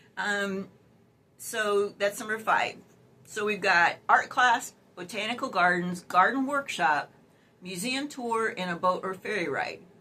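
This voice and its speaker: Speaking fairly slowly, a woman has a normal speaking voice at medium pitch with ordinary pitch variation. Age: 60s. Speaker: dating advice youtuber. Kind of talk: casual advice vlog. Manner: chatty, many fillers.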